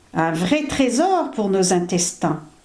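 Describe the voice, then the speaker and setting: A woman speaks at a very slow pace in a medium pitch. Audible room echo surrounds her voice. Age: 70s. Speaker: natural health vlogger. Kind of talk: health advice monologue to camera.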